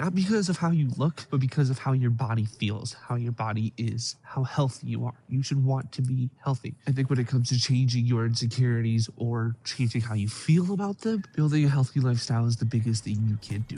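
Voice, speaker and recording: Speaking at a fairly quick pace with hardly any pauses, a man has a dark, mellow, somewhat breathy tone at medium pitch with ordinary pitch variation. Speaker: self-help YouTuber. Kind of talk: motivational talk to camera.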